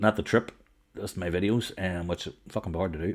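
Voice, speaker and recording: The recording is very clean against a silent background. A man talks in an animated tone. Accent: Northern Irish. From Northern Ireland, County Armagh. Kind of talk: casual chat.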